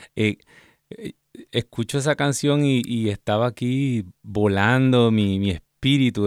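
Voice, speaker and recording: A man with a plain, everyday voice, ordinary pitch variation and a fairly slow pace. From Puerto Rico, Ciales. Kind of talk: testimony.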